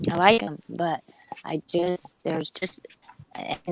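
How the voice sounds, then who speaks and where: A woman speaks in an ordinary speaking voice at a fairly slow pace, her intonation fairly even, with a dry, close sound and no echo. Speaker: panel participant on live stream. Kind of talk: casual group chat.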